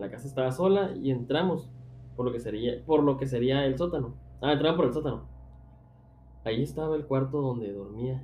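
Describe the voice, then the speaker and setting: An animated voice in a Mexican accent at a moderate pace, with long, frequent pauses and audible room echo. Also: man. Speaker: podcast host. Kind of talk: casual chat.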